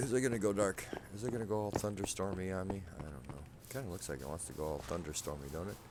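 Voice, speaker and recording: Soft-spoken and very fast, a man talks with a very deep, low pitch and lively intonation over noticeable background noise. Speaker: gaming video creator. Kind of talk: gameplay commentary. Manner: quiet, soft-spoken.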